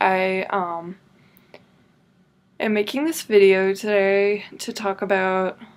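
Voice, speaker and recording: A woman speaks at a very slow pace, with long, frequent pauses. Her intonation stays fairly even. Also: medium pitch for a woman. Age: 20s. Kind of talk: personal story told to camera. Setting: bedroom. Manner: hesitant, casual, many filler words.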